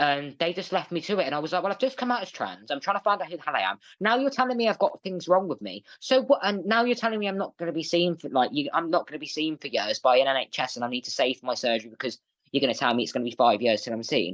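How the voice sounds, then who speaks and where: With an English accent and a bubbly, animated tone, a man talks at a very fast pace with hardly any pauses, his fairly high voice making very wide pitch swings and showing vocal fry, in a dry, close sound with no echo. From England. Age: 20s. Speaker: guest on mental health podcast. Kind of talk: interview, personal story. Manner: animated, bubbly.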